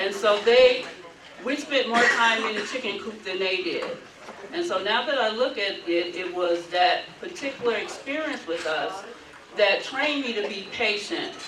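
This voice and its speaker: Fairly high woman's voice in an American accent with very wide pitch swings, audible room echo and noticeable background noise. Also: moderate pace. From Brooklyn, New York and Mississippi. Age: 60s. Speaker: advocacy group leader. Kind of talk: banquet speech.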